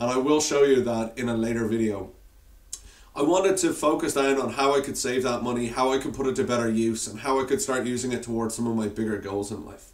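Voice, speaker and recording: Against noticeable background noise, a man with an Irish accent talks very fast at a medium pitch with ordinary pitch variation. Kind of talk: casual talk to camera.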